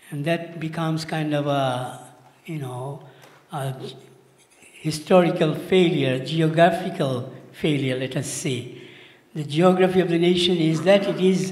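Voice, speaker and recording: A man at a fairly slow pace, ordinary pitch variation, audible room echo. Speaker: speaker. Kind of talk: conference talk. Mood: earnest, warm. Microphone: handheld.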